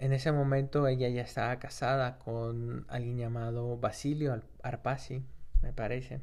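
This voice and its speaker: Here a man speaks at a medium pitch and fairly slow pace. His intonation is monotone and flat. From Peru. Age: 30s. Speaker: history podcaster and master's student. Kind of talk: casual educational podcast narration. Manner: halting, with many fillers and self-corrections.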